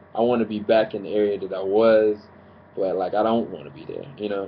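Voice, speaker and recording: A plain, everyday voice moves at a fairly quick pace with fairly even intonation and big swings in loudness. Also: man. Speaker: preacher / sermon commentator on YouTube. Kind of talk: sermon-style commentary to camera.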